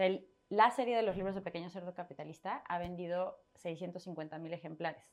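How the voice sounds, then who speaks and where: Spoken in a normal speaking voice at a moderate pace, the delivery has ordinary pitch variation. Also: woman, fairly low pitch for a woman. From Mexico City, part in Torreón, Coahuila. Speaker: personal finance author and blogger. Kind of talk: interview conversation.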